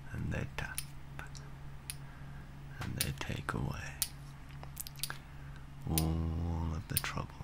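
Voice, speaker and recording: Over loud background noise, a man talks at a very slow pace with long, frequent pauses. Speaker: ASMR artist. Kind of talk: ASMR relaxation talk for sleep. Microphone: studio mic.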